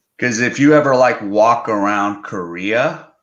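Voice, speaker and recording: The speaker talks at a very slow pace in an American accent. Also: man. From United States. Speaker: online English teacher and video blogger. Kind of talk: casual livestream chat.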